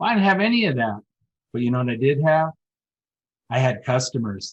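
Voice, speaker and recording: The speaker is a man. His voice sounds somewhat breathy. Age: 60s. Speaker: business owner. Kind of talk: interview. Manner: upbeat.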